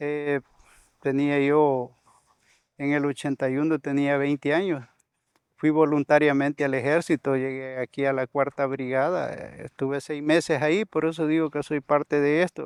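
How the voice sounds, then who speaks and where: A man speaks at a moderate pace in a fairly high pitch, with monotone, flat intonation. The sound is dry and close with no echo, over a quiet background. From El Salvador, Suchitoto area. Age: 60s. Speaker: conflict survivor, former soldier, community leader. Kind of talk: testimony. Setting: on location in rural community. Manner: halting, repeats words.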